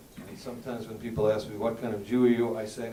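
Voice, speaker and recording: The speaker has an American accent, and there is audible room echo. Noticeable background noise runs underneath. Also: man. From US South, Miami Beach Florida. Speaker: rabbi and educator. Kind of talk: panel talk. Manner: halting.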